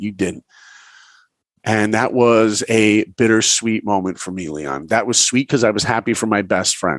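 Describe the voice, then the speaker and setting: A man with a New York accent speaks at a fairly low pitch. His tone is animated, and the background is quiet. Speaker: animator and film director. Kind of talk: interview storytelling.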